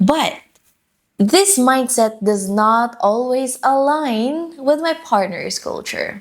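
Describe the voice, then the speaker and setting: Woman with a Filipino accent, very slow in pace, lively in intonation. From Philippines. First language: Filipino dialect (Tagalog or regional). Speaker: lifestyle vlogger. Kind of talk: personal vlog monologue.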